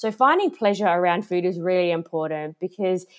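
With an Australian accent, a woman talks at a moderate pace in a fairly low pitch with ordinary pitch variation. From Australia, Adelaide. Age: 30s. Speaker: health coach. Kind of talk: interview.

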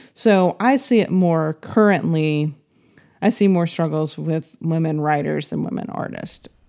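Speaking fairly slowly with an American accent, a woman has a fairly low pitch and a dark, mellow tone. Her intonation is lively. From US South, Nashville, Tennessee. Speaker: music publisher and artist manager. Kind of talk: interview conversation.

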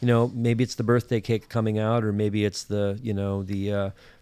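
Heard on a very clean recording with a silent background, a plain, everyday voice moves at a fairly quick pace. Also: man. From northern Minnesota. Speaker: podcast co-host, playwright and director. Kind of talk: casual chat.

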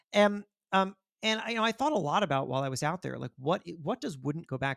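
In a plain, everyday voice, a man with an American accent talks at a fairly quick pace with lively intonation. The sound is dry and close with no echo. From Florida. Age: 40s. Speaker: magazine editor and author. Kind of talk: interview. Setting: remote call.

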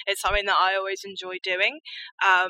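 Speaking in a southern English accent, a woman has a medium pitch and a bright, sharp tone. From rural Hampshire, southern England. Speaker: mental health campaigner. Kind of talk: interview.

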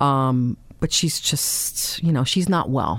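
A woman with a very deep, low pitch and a New York accent, fairly slow pace and ordinary pitch variation, on a very clean recording with a silent background. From New York, Staten Island. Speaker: formerly homeless woman. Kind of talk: interview testimony. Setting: studio. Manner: halting.

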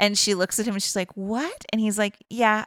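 A woman with an unremarkable speaking voice talks at a fairly quick pace with fairly even intonation. The recording is very clean, with a silent background and a dry, close sound with no echo. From Boston area. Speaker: podcast co-host. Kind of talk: casual chat, retelling a movie plot.

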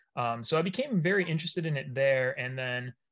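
Here is a man with an American accent and an ordinary speaking voice. He uses a medium pitch at a moderate pace. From Maine, US. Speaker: hazing prevention researcher. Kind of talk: interview.

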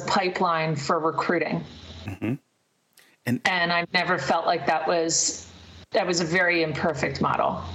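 A woman at a moderate pace in an ordinary speaking voice. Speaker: podcast host, recruiter. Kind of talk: casual chat.

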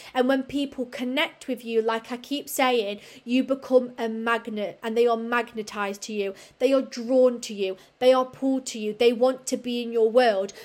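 In a very clean recording with a silent background, a woman speaks at a moderate pace in a high pitch, her intonation monotone and flat while her loudness swings widely. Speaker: podcast host and fitness business coach. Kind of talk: solo podcast monologue. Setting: seated, leaning back in chair.

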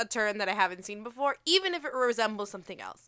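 A woman speaks at a very fast pace with a bright, sharp tone. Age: 20s. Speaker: comic book podcast co-host. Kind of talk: casual chat.

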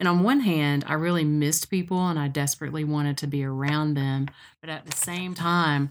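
In a Tennessee accent, a woman with a very deep, low pitch speaks at a moderate pace with fairly even intonation, recorded very cleanly against a silent background. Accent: US Southern (Tennessee). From Middle Tennessee (Cookeville). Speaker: podcast host. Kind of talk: casual chat.

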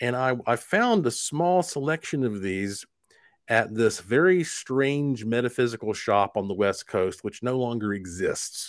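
A man speaks with an American accent at medium pitch. His pace is fairly slow and his intonation lively. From US South, Asheville, North Carolina. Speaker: paranormal investigator. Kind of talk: interview.

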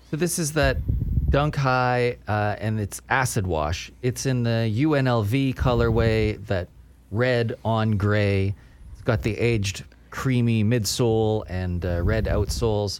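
A man talks fairly slowly in an ordinary speaking voice, fairly low in pitch, with lively intonation. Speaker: podcast host. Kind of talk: casual chat.

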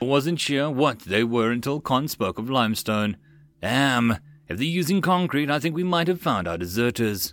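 Someone reads aloud in a natural voice. Their intonation sounds lively.

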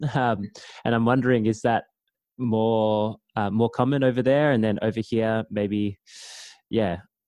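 In an Australian accent, a man at a medium pitch talks at a fairly slow pace with long, frequent pauses, fairly even intonation and very even loudness, his dry, close sound carrying no echo over a quiet background. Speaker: podcast host. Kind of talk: interview. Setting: video call.

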